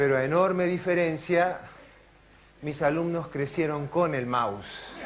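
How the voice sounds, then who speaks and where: In an Argentine accent, a man with a fairly high pitch and ordinary pitch variation speaks at a fairly slow pace, with audible room echo and noticeable background noise. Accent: Argentine Spanish (Rioplatense). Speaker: neurologist and lecturer. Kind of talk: conference talk. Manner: animated.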